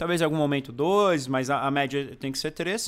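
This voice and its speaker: Here a man talks at a moderate pace. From Brazil, São Bernardo do Campo (Greater São Paulo). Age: 30s. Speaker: food YouTuber. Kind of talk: casual chat.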